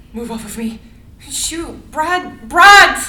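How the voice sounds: Using a put-on character voice, a woman speaks slowly at a high pitch with a bright, sharp tone and lively intonation, and audible room echo surrounds her.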